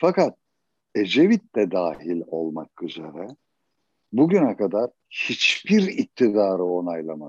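A man talks at a very slow pace in a dry, close sound with no echo. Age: 70s. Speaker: musician. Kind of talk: interview.

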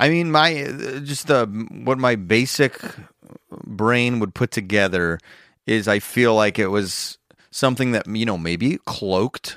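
An American-accented man speaks with lively intonation and long, frequent pauses. The sound is dry and close with no echo, on a very clean recording with a silent background. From Chicago area. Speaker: comedian and podcast host. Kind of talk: casual chat.

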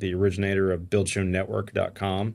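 A normal speaking voice from a man with an American accent, fairly low in pitch, at a moderate pace on a very clean recording with a silent background. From Pittsburgh, Pennsylvania. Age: 50s. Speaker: home builder and construction YouTuber. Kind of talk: casual interview. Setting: home studio.

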